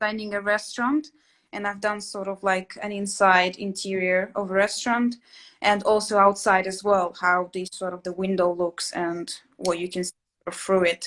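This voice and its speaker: Speaking in a Russian accent, a woman keeps a medium pitch and a fairly even intonation. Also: moderate pace. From Latvia. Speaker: interior sketching instructor. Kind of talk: casual chat. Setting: live stream. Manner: hesitant, many fillers.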